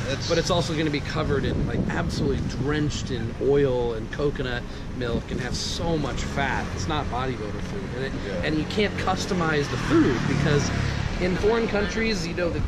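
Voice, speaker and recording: Loud background noise accompanies a man speaking at a moderate pace. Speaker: vlogger. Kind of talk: casual vlog chat. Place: street. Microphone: phone near.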